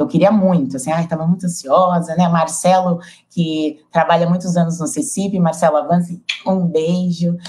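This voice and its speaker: Somewhat breathy and fairly low-pitched, a woman speaks with a São Paulo accent. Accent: São Paulo Brazilian Portuguese. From São Paulo, Brazil. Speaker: project facilitator. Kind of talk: panel discussion.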